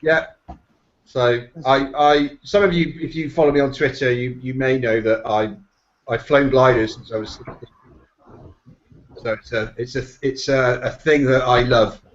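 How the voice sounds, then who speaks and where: A man with a slight Bristol accent speaks at a medium pitch and a moderate pace. His intonation is fairly even, and he takes long, frequent pauses. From England, Bristol. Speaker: SEO professional, panel guest. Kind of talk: casual chat.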